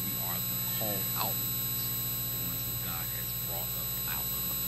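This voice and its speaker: A man at a moderate pace is heard through loud background noise. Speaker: minister teaching Bible study. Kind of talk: sermon. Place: church. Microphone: handheld.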